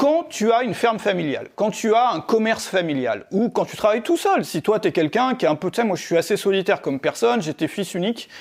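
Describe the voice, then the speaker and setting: Speaking very fast with hardly any pauses, a man's high voice makes very wide pitch swings on a very clean recording with a silent background. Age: 40s. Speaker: online entrepreneur and video creator. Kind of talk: casual monologue to camera. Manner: halting, many fillers.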